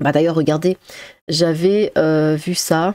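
A woman's fairly low, dark, mellow voice at a very slow pace, monotone and flat, with a dry, close sound and no echo. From Strasbourg, Alsace, France. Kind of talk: casual commentary reacting to news articles. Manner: casual, with hesitations and laughter.

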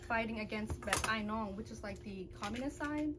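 Loud background noise surrounds a woman speaking at a moderate pace with a fairly high pitch. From Laotian American, raised in the US. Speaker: video creator hosting a family mukbang. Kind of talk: casual mukbang chat and interview setup. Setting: at home at the table, filming with family. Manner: rambling and filler-heavy, lots of um and like. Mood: calm, serious storytelling. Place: home room.

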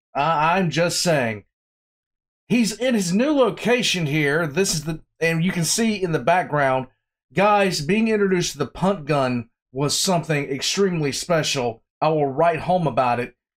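Against a quiet background, the speaker uses lively intonation at a fairly slow pace. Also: man. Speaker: reaction video host. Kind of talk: casual reaction commentary. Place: home room.

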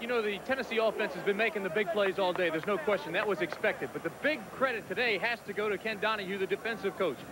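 A man at a very fast pace with hardly any pauses, high in pitch, with ordinary pitch variation, a dry sound with no echo and noticeable background noise. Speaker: sideline reporter. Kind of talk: live sports commentary, sideline report. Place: stadium. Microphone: handheld.

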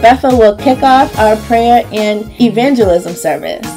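Music plays in the background as a woman speaks at a moderate pace with a warm tone. Her pitch is fairly high, with ordinary variation. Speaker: voice actor. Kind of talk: church announcement read. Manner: warm, friendly.

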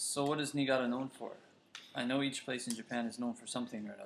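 A man's medium-pitched voice at a very fast pace, with big swings in loudness and light background noise. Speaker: English conversation teacher. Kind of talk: scripted conversation practice reading. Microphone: webcam.

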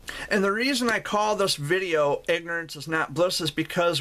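Speaking at a moderate pace, a man delivers a bright, sharp tone at a high pitch. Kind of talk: personal reflection monologue. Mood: earnest, serious. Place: home room. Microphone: webcam.

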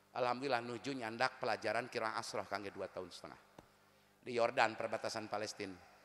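A man speaks at a very fast pace with monotone, flat intonation. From West Java, Tasikmalaya; West Java. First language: Sundanese (speaking Indonesian). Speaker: Islamic preacher. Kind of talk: sermon. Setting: religious gathering with audience. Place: stage. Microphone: handheld.

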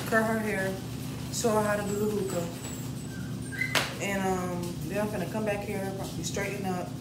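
Loud background noise fills the recording. A woman speaks at a moderate pace. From Savannah, Georgia. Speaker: vlogger. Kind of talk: casual vlog talk to camera. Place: home room. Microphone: phone near.

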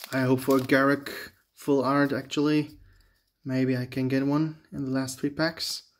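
A man at a moderate pace with monotone, flat intonation against a quiet background. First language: not English. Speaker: Magic: The Gathering booster opener, YouTuber. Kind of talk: casual video commentary while opening card packs. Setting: home video, talking to camera. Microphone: phone near.

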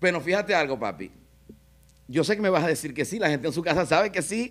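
Against a quiet background, a man with a Zulian Venezuelan accent talks with lively intonation. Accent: Zulian Venezuelan Spanish (voseo). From Venezuela, Maracaibo (Zulia); Zulia, Venezuela. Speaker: web show host. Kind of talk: comedic interview chat. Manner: animated. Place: studio. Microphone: studio mic.

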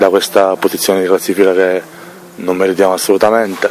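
Against light background noise, a man speaks in a monotone, flat way at a fairly low pitch, the sound dry with no echo. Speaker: sporting director of football club. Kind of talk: post-match interview. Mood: frustrated but composed. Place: stadium. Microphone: handheld.

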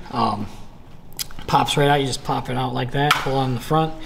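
Noticeable noise runs in the background. Through it comes a man's voice. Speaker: product demonstrator. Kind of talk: tutorial.

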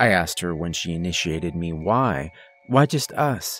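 Music plays behind a man speaking at a moderate pace. His intonation is lively, and the sound is dry with no echo. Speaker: horror story narrator. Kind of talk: story narration.

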